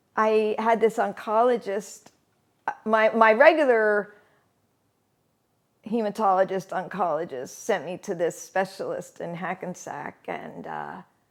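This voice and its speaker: With an American accent, a woman speaks at a fairly slow pace in a medium pitch with vocal fry, ordinary pitch variation, long and frequent pauses, and big swings in loudness. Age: 60s. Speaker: singer-songwriter. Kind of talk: personal testimony interview. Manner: conversational with many fillers and restarts.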